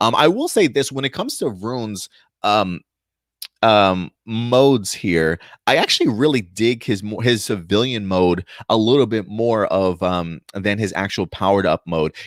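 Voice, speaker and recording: A normal speaking voice with an American accent, at a moderate pace with ordinary pitch variation, in a very clean, dry, close recording with a silent background and no echo. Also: man, fairly low pitch for a man. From New York (Bronx/Brooklyn), later New Jersey. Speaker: YouTube news and review host. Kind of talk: casual video commentary. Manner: casual, many fillers and self-corrections.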